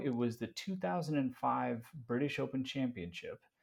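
In a normal speaking voice, a man with a medium pitch talks at a moderate pace with lively intonation. The background is quiet. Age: 40s. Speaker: content creator and marketing executive. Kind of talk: casual interview chat.

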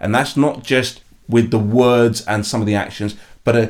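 In a very clean recording with a silent background, a man with a London accent speaks at a medium pitch and moderate pace with ordinary pitch variation. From East London, England. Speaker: behavioral change coach and NLP trainer. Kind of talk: interview.

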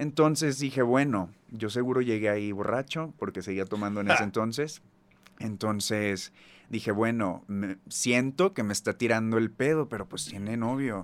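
Pitch varies in an ordinary way as an ordinary speaking voice proceeds at a moderate pace. The background is silent and the recording very clean. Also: man, medium pitch for a man. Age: 30s. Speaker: singer. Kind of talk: casual chat.

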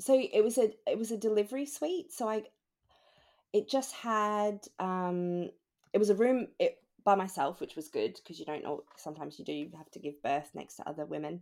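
A woman speaks at a moderate pace with an Australian accent. Her medium pitch moves in very wide swings. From Australia (Melbourne). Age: 20s. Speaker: new mother, HR assistant. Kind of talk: casual interview, personal story.

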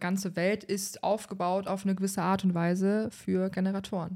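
At a medium pitch, a woman talks in a dark, mellow tone. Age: 20s. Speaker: human design expert. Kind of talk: casual chat. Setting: sitting on the floor of a nearly empty flat.

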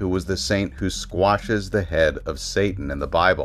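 A man speaks at a moderate pace in a very deep, low voice. Background noise is noticeable. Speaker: podcast host. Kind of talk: scripted-style horror narration, ominous storytelling. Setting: home studio near traffic noise.

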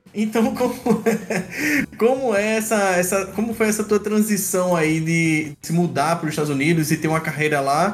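With lively intonation and hardly any pauses, a high-pitched man talks at a moderate pace. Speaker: podcast co-host, hacker. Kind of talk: casual podcast chat. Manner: animated.

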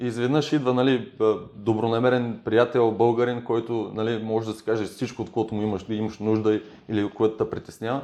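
Fairly quick and monotone, a man's delivery stays flat. His tone is dark and mellow. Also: medium pitch for a man. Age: 30s. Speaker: footballer. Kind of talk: casual interview. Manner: halting with fillers.

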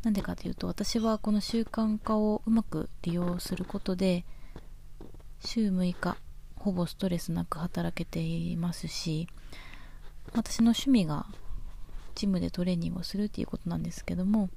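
A moderate pace broken by long, frequent pauses. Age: 20s. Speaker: podcast host and nurse. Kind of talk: solo casual monologue. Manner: halting.

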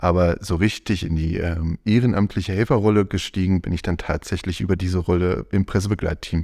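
A man's very deep, low voice with a dark, mellow tone, at a fairly quick pace with hardly any pauses and fairly even intonation, in a very clean recording with a silent background. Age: 40s. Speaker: volunteer press team lead. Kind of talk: interview. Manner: hesitant, many fillers.

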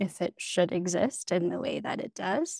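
A woman with a Canadian accent talks at a fairly slow pace in a medium pitch, with an ordinary speaking voice. The sound is dry and close, with no echo. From Canada, northeastern British Columbia. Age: 20s. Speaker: people development manager. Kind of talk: interview.

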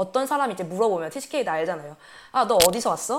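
Very wide pitch swings stand out in a very clean recording with a silent background. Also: woman. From Korea, Vietnam and Germany. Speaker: podcast co-host. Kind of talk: casual chat.

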